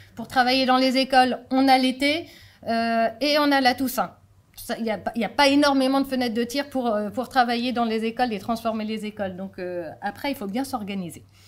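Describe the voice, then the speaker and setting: This woman has a fairly high pitch and ordinary pitch variation. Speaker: deputy mayor, local politician. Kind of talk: conference talk. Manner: fast; hesitant, many fillers.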